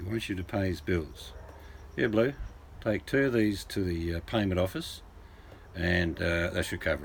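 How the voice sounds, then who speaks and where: Somewhat breathy and very deep and low in pitch, a man talks at a moderate pace with ordinary pitch variation and long, frequent pauses. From England. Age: 60s. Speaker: livestreamer. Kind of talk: casual chat.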